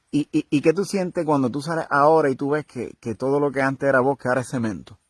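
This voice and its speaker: Speaking very fast with a Puerto Rican accent, a man talks at a fairly high pitch with ordinary pitch variation. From Puerto Rico. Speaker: broadcaster. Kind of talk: interviewing his grandmother.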